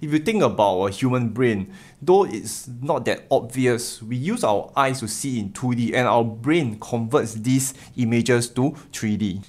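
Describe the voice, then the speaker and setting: Against a quiet background, a man speaks with lively intonation. His pace is fairly slow. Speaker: tech video host. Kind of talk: commentary. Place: home room.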